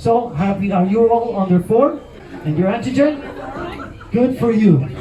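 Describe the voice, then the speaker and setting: Against crowd noise in the background and audible room echo, a man with a Mexican accent speaks at a moderate pace in a high pitch. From Mexico. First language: Spanish. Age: 50s. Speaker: comedian. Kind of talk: stand-up.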